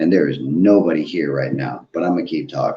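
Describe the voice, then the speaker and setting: A man speaks with a very deep, low pitch, a dark, mellow tone and vocal fry. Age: 40s. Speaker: recovery live streamer. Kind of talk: casual live stream monologue. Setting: live stream. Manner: slow; deliberate.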